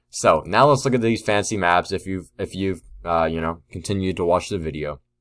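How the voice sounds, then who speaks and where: In a very clean recording with a silent background, a man with a very deep, low pitch speaks at a fairly quick pace using ordinary pitch variation. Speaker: weather forecaster. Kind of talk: forecast video commentary. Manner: fast; animated.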